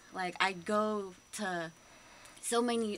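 With an American accent, a woman speaks at a medium pitch and fairly even intonation over light background noise. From US, San Francisco Bay Area. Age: 20s. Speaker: college student and cultural night artistic director. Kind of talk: radio interview. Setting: radio studio. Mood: earnest, slightly nervous. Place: studio. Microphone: studio mic.

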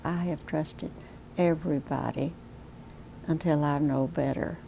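With an American accent, a woman talks at a fairly slow pace in a very deep, low voice with a dark, mellow tone and fairly even intonation over light background noise. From US South, Texas. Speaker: elder abuse victim. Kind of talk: testimony. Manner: halting, earnest; hesitant, wounded and afraid, recounting theft. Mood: earnest, somewhat somber. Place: home room. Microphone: lapel.

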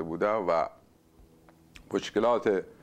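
The pace is fairly slow. The speaker is a man. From Iran, Isfahan; Iran. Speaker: writer and poet; poet. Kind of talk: interview. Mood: calm, reflective. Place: home room. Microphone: lapel.

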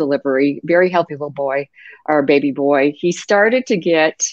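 Against a quiet background, a woman with an American accent speaks in a very deep, low pitch with ordinary pitch variation and a dry sound with no echo. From United States. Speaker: patient safety advocate. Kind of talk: interview. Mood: earnest, sober storytelling. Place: home room. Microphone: video call.

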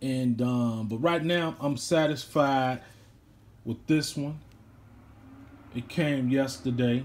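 A man talks with long, frequent pauses. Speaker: watch owner reviewing his watch. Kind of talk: casual vlog chat. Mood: relaxed, pleased. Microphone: phone near.

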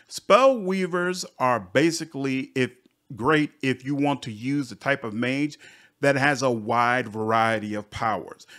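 In a normal speaking voice, a man talks at a fairly slow pace, medium in pitch with ordinary pitch variation. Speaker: gaming youtuber. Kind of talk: video game review. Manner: upbeat.

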